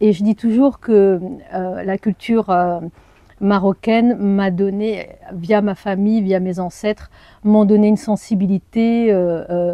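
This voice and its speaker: Someone with an Arabic accent and a dark, mellow tone speaks at a very slow pace with fairly even intonation, recorded with a dry, close sound, no echo and a quiet background. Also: woman, medium pitch for a woman. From France, Perche region (Nogent-le-Rotrou). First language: Arabic (speaking French). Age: 40s. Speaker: journalist and anthropologist. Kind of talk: personal interview testimony. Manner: hesitant, many fillers.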